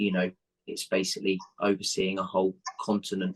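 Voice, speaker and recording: His accent is English. The man's voice sits on the fairly low side. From England. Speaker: football coach. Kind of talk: interview answer. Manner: hesitant, conversational.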